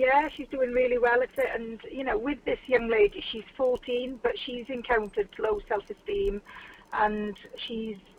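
Over noticeable background noise, a woman speaks slowly-ish in a high voice with very wide pitch swings. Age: 40s. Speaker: model. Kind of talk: casual interview. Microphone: phone line, patchy sound.

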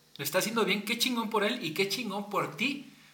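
With a Mexican accent, a man speaks in a raised, projected voice at a high pitch and moderate pace, amid noticeable background noise and audible room echo. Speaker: podcast host and advertising creative. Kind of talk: casual chat.

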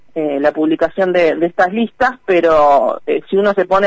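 A woman with an ordinary speaking voice talks at a fairly slow pace and medium pitch, with ordinary pitch variation, in a dry, close recording with no echo. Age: 30s. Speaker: national legislator. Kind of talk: radio interview.

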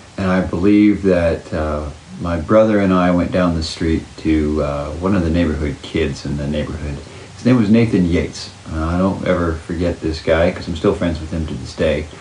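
Very deep and low in pitch, a man speaks with fairly even intonation amid audible room echo and noticeable background noise. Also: moderate pace. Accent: American. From Oklahoma, US. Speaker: parent interviewee. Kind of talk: casual interview.

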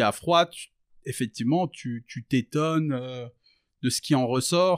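Very slowly and with ordinary pitch variation, a man at medium pitch speaks on a very clean recording with a silent background. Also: dry, close sound with no echo. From rural France. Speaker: rapper. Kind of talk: casual interview. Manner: halting, many fillers.

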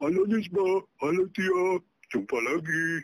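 A man puts on a character voice, high-pitched and cheerful in tone. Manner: goofy, cheerful.

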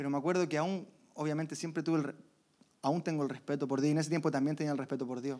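A man with a fairly high pitch, a dark, mellow tone, flat monotone delivery and a very fast pace. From Chile. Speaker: church member giving testimony. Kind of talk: testimony.

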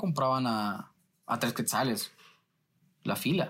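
A man talks with a Guatemalan accent. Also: very clean recording, silent background. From Guatemala City. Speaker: journalist. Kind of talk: interview.

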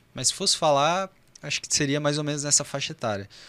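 A bright, sharp tone comes through on a very clean recording, its background silent. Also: man. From Brazil, São José dos Campos (São Paulo state). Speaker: urologist. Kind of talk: podcast interview.

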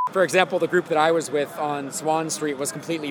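A man with an American accent talks at a fairly quick pace with a fairly high pitch and monotone, flat intonation. Noticeable background noise is present. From Ohio. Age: 20s. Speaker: protester interviewed on the street. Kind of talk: street interview.

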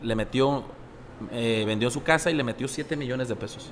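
Here a man talks at a moderate pace in a medium pitch, with ordinary pitch variation. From Sinaloa, Mexico. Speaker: restaurant owner. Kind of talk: casual chat.

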